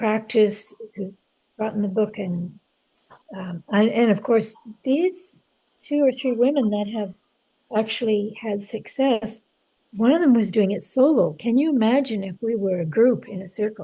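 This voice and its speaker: A woman with a dark, mellow tone speaks at a fairly high pitch and moderate pace, somewhat breathy, with ordinary pitch variation. Her loudness swings widely. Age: 70s. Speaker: author. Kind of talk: interview conversation. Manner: halting, many fillers.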